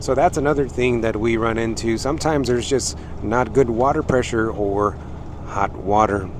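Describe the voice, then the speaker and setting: The recording is dry with no echo but has noticeable background noise, as a man speaks at a moderate pace with ordinary pitch variation. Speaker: truck driver vlogger. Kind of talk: casual vlog chat. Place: car. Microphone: headset.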